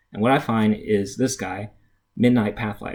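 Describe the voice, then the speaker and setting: A man with a medium-pitched, ordinary speaking voice talks at a fairly quick pace. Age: 30s. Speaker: engineer and game player auditioning. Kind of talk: scripted audition monologue / storytelling.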